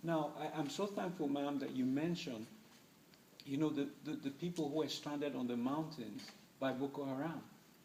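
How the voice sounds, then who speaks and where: With noticeable background noise behind him, a man talks at a moderate pace in a fairly high pitch with ordinary pitch variation. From Nigeria, Middle Belt. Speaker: human rights advocate. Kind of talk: public talk Q&A. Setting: university event with audience.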